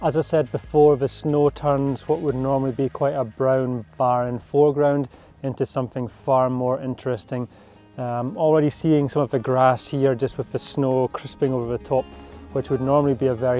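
Faint music plays behind a man who speaks at a moderate pace with fairly even intonation, the sound dry with no echo. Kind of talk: casual vlog chat. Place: open country. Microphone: phone near.

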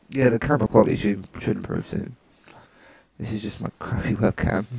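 A man speaks at a fairly quick pace with a fairly low pitch and ordinary pitch variation. His voice has a husky, rough edge, vocal fry and a slightly mellow tone.

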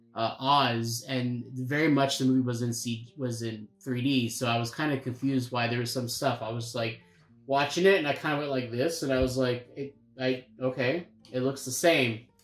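At a moderate pace, the speech carries audible room echo with faint music in the background. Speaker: movie review co-host. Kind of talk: casual podcast-style commentary. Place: home room. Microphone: camera far.

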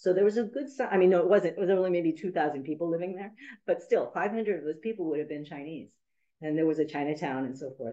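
Very fast and with lively intonation, a woman at a fairly low pitch speaks in a dark, mellow tone, her loudness swinging widely over a quiet background. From US West Coast, San Francisco; California. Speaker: university professor and documentary filmmaker; university professor. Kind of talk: academic lecture. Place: meeting room. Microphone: video call.

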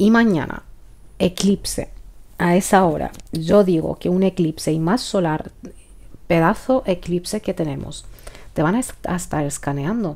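A woman's medium-pitched voice with a dark, mellow tone, fairly slow, with long, frequent pauses. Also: ordinary pitch variation. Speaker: tarot reader. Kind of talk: tarot reading.

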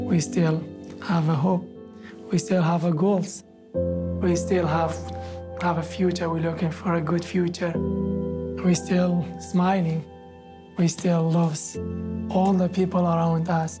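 A man talks at a fairly slow pace with long, frequent pauses. Background noise is noticeable. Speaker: genocide survivor, refugee. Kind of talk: documentary testimony. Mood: earnest, hopeful, sometimes smiling. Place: studio.

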